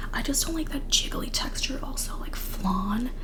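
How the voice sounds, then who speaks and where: With noticeable background noise around it, a whispering voice moves at a fairly quick pace. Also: woman. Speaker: ASMR creator. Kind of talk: casual talk to camera. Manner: whispered.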